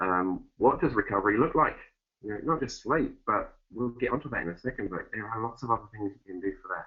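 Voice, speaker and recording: In an Essex accent, a man talks fairly quickly at medium pitch, with ordinary pitch variation and big swings in loudness. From Essex, England. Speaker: fitness educator. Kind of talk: webinar presentation. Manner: fast.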